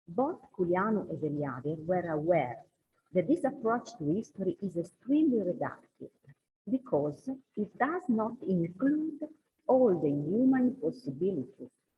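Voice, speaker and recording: At a fairly slow pace, a woman with a non-native accent speaks at medium pitch, making very wide pitch swings. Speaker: scholar. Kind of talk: conference talk read from paper. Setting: conference hall.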